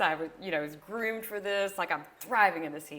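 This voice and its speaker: A woman speaks with a Southern US accent. Her medium-pitched voice carries lively intonation. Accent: Southern twang. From US South. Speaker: entrepreneur. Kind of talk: interview.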